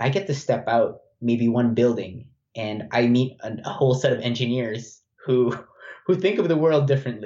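There is some breathiness in this man's voice. His medium pitch varies in an ordinary way. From Philippines. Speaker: university student. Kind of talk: casual interview.

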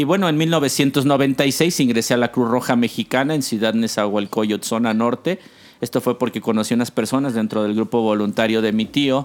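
In an unremarkable speaking voice of medium pitch, a man talks at a moderate pace with very even loudness and ordinary pitch variation. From Mexico City. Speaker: air rescue paramedic. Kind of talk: interview.

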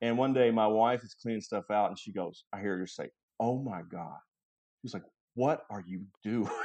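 At a moderate pace, a man with a Southern US accent talks in a medium pitch. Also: ordinary pitch variation. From Kentucky. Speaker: real estate appraiser and realtor. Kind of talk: casual interview chat.

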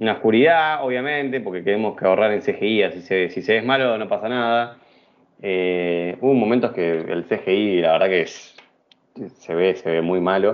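Speaking in a Rioplatense accent, a man with a fairly low pitch talks at a moderate pace with ordinary pitch variation. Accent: Argentine Rioplatense Spanish. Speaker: podcast host. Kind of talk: casual chat.

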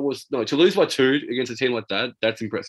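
Here a man speaks with an Australian accent. His pitch is fairly high and his pace fairly quick. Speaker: basketball podcast co-host. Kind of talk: casual chat.

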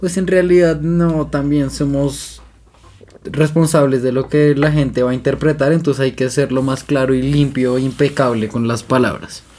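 A man speaks at a moderate pace. His pitch sits fairly high, with noticeable background noise behind him. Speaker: podcast co-host. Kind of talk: casual chat.

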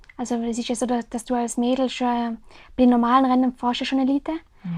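Speaking fairly quickly in a high voice, a woman with a Tyrolean accent keeps a monotone, flat intonation. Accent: Tyrolean Austrian German. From Austria, Tyrol (Oberland, Zams). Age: 20s. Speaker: mountain bike racer. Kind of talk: casual interview.

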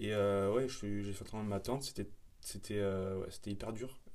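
With audible room echo, a man with a fairly low pitch talks at a fairly slow pace, leaving long, frequent pauses. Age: 20s. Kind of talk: casual chat.

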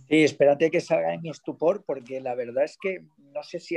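Speaking at a moderate pace, a man's fairly high voice carries a dark, mellow tone. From Valencia, Spain. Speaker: schoolteacher, audience participant. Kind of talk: casual chat.

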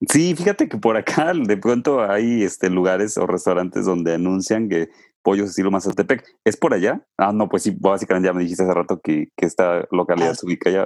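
In a quiet background, a man talks at a fairly quick pace and fairly low pitch, with ordinary pitch variation. It is an ordinary speaking voice, with a dry, close sound and no echo. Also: hardly any pauses. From Mexico, Puebla state. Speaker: travel podcast host. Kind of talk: casual interview.

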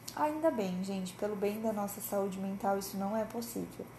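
At a moderate pace and medium pitch, a woman speaks with audible room echo around her. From Brazil, interior of Paraná. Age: 20s. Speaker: psychologist and podcast host. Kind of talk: casual solo podcast monologue.

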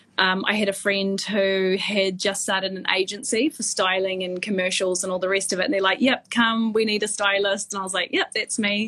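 With noticeable background noise, a woman with a New Zealand accent speaks at a medium pitch with fairly even intonation and hardly any pauses. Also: fairly quick pace. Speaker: fashion stylist. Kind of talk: casual interview. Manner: halting, many fillers.

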